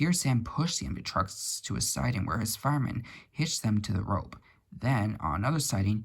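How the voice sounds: This is a natural reading voice. The words come through in a natural reading voice.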